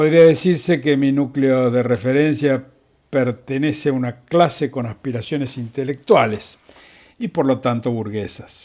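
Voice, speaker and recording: A man with an unremarkable speaking voice talks at a moderate pace and a medium pitch. His pitch varies in an ordinary way, and the recording is very clean with a silent background. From Argentina, Buenos Aires province. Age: 60s. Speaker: physician telling family history. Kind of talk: scripted narration. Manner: formal.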